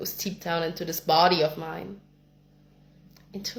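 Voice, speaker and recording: A woman with a non-native accent, fairly low pitch and vocal fry, at a fairly slow pace with ordinary pitch variation. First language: not English. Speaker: spiritual content creator. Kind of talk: personal spiritual monologue.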